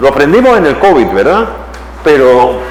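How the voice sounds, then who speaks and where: A man speaks at a moderate pace, his voice carrying audible room echo over noticeable background noise. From Panama. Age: 70s. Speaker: professor. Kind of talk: lecture.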